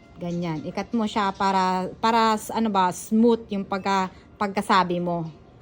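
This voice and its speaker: Fairly slow, fairly even delivery from a woman at a medium pitch, on a very clean recording with a silent background. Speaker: vlogger. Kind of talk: tutorial. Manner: halting.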